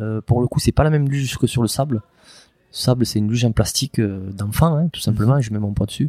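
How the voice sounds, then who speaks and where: A man's medium-pitched, dark, mellow voice at a fairly quick pace, with ordinary pitch variation, dry and close with no echo, on a very clean recording with a silent background. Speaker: former legionnaire and polar adventurer. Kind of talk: interview. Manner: halting.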